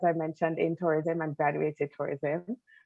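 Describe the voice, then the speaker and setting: A woman speaks with a Jamaican accent. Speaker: travel industry manager, alumna panelist. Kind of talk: panel discussion.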